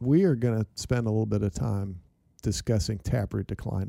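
A man speaks at a fairly quick pace with a dark, mellow tone. The recording is very clean, with a silent background. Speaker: extension plant pathologist, co-host. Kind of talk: casual conversational interview. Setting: studio.

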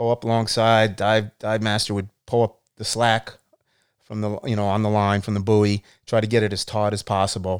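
A man's fairly low, flat monotone at a moderate pace. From US, born in Canada. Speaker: retired police officer and navy diver. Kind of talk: casual interview chat.

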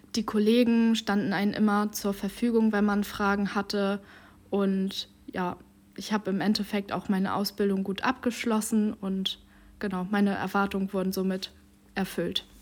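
The speaker is a woman with monotone, flat intonation. She keeps a moderate pace. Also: medium pitch for a woman. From Schleswig-Holstein, Dithmarschen. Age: 20s. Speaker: trainee civil servant and student. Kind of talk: interview.

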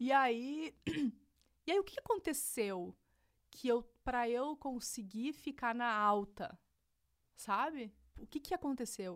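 Her high voice swings very widely in pitch as this woman speaks in an animated tone at a fairly slow pace. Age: 30s. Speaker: digital entrepreneur. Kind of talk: casual interview. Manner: animated, laughs often.

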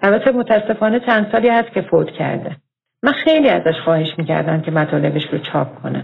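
A woman with a normal speaking voice, fairly low pitch, lively intonation and a fairly quick pace. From Iran, Tehran. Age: 50s. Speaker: listener telling her life story. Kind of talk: recorded personal testimony.

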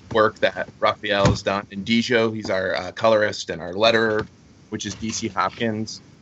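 With an American accent, a man talks at a moderate pace in a normal speaking voice of fairly low pitch. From Florida, Fort Myers. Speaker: comic book writer. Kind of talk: casual interview.

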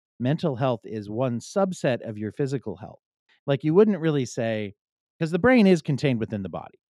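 Lively intonation colors a man's moderately paced speech. Nothing can be heard behind him. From Pennsylvania, US. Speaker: psychotherapist. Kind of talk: casual interview. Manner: halting, many false starts.

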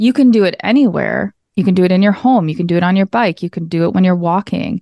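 Against a quiet background, a woman with a Minnesotan accent speaks at medium pitch in a dark, mellow tone. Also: dry, close sound with no echo. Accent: Minnesota. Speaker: yoga teacher. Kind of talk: interview.

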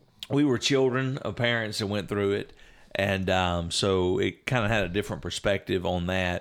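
A man speaks at a moderate pace with a fairly low pitch and ordinary pitch variation. The recording is very clean, with a silent background. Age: 40s. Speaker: pastor and podcast host. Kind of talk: casual chat.

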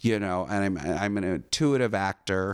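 A man with an American accent, very slow and fairly low in pitch, ordinary pitch variation, on a very clean recording with a silent background. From California, Orange County. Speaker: dancer, actor and casting director. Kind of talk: casual interview, life story.

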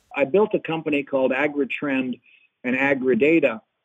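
A man's ordinary speaking voice, fairly high in pitch, with ordinary pitch variation. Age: 50s. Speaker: agronomist and agricultural consultant. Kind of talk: interview. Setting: phone call.

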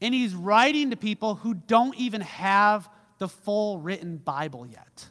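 His intonation is lively and his pitch is high. The man speaks at a fairly slow pace. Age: 30s. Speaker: pastor. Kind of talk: sermon. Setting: church. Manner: casual, conversational.

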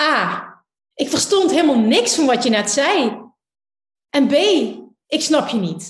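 A woman's high-pitched voice with a Limburg accent, very wide pitch swings, very even loudness, a fairly slow pace and long, frequent pauses, with audible room echo. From Limburg, Netherlands. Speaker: law of attraction teacher. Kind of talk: casual interview.

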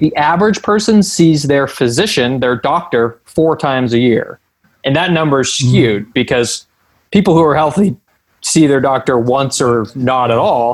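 This man has an unremarkable speaking voice, fairly high in pitch, with lively intonation at a moderate pace. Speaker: strength and conditioning coach. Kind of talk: podcast interview.

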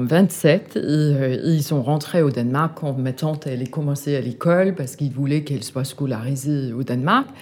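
A woman's very deep, low voice in a Danish accent, fairly slow in pace with hardly any pauses. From Denmark. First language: Danish (speaking French). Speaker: art gallery owner. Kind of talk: interview. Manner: halting.

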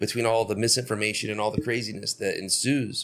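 Fairly quick and fairly even in intonation, a man talks in an unremarkable speaking voice at medium pitch, recorded very cleanly against a silent background. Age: 40s. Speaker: podcast host. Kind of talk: casual chat.

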